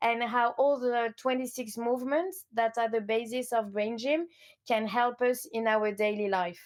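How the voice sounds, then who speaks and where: A woman speaks with a French accent and a fairly high pitch. Her loudness stays very even throughout. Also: ordinary pitch variation. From France, Lyon. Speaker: coach. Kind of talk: interview.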